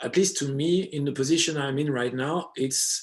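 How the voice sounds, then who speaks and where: A man with a French accent and fairly high pitch speaks at a moderate pace with ordinary pitch variation. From France. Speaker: DJ and electronic music producer. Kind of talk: interview conversation. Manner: hesitant, many fillers.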